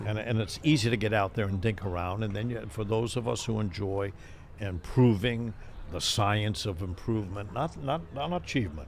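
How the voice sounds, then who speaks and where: A man talks at a moderate pace in a fairly low pitch with ordinary pitch variation. His voice is somewhat breathy. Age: 80s+. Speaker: retired professor and pickleball coach. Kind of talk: interview answer.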